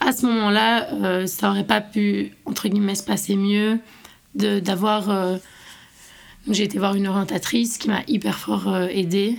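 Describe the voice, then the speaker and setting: A woman with a normal speaking voice talks at a fairly slow pace. Her pitch is medium, with ordinary variation. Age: 20s. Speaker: university student. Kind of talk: personal testimony.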